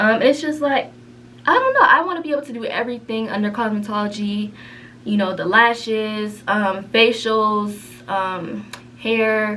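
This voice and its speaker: With audible room echo and noticeable background noise, a woman speaks with ordinary pitch variation and big swings in loudness. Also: fairly high pitch for a woman, moderate pace. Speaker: beauty vlogger and cosmetology student. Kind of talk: casual chat. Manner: whispering.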